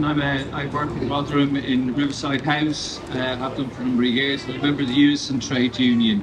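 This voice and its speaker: A man with a fairly high pitch speaks at a fairly quick pace. Noticeable background noise and audible room echo fill the recording. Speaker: trade union member. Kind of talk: rally speech.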